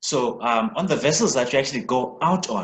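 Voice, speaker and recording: The man speaking makes very wide pitch swings. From South Africa. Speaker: podcast host. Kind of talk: interview.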